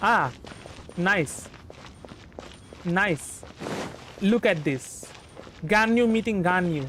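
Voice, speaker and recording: Noticeable background noise sits under very slow speech broken by long, frequent pauses. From India, West Bengal. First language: Bengali. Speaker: vtuber game streamer. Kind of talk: casual game stream commentary. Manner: halting, many fillers and false starts.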